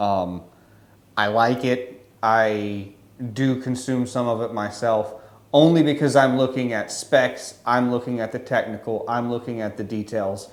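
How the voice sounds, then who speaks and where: Here a man with an American accent speaks at a medium pitch. His pace is fairly slow and his intonation fairly even. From Louisiana, US South. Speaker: photographer and YouTuber. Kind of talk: casual to-camera monologue. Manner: wordy, rambling with fillers.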